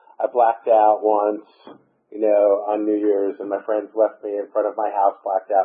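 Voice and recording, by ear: With an American accent, a man speaks at a moderate pace in a fairly low pitch, with monotone, flat intonation and a slightly husky edge.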